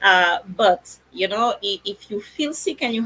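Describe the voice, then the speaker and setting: The speaker has a French accent. Noticeable background noise runs behind the voice. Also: woman. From France. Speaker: naturopath. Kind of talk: educational talk. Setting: live stream.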